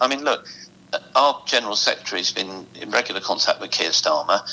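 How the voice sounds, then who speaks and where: Noticeable background noise sits behind this man's voice. He talks at a fairly quick pace in an English accent. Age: 60s. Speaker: musicians' union representative. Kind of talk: interview. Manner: animated.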